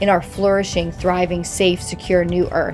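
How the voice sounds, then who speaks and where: Music plays behind a woman who speaks at medium pitch and a moderate pace with monotone, flat intonation. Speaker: consciousness coach. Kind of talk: spoken prayer.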